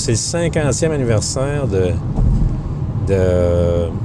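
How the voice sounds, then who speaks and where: Noticeable background noise and audible room echo surround a man whose voice makes very wide pitch swings. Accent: Quebec. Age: 50s. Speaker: podcast host. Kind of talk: casual monologue. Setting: in a car. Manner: halting.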